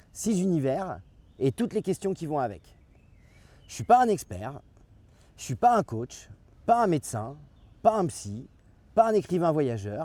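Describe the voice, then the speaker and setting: The recording is very clean with a silent background. A man with a dark, mellow tone speaks at a fairly slow pace, his pitch swinging very widely between long, frequent pauses. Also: fairly high pitch for a man. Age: 50s. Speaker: YouTube channel creator. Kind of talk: channel introduction monologue. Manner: hesitant, many filler sounds.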